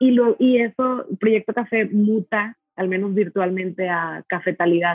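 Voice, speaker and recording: A woman speaks at a fairly slow pace with hardly any pauses, her medium pitch showing ordinary variation in a plain, everyday voice. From Mexico, Monterrey. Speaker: coffee roaster and barista. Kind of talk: casual interview chat. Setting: video call.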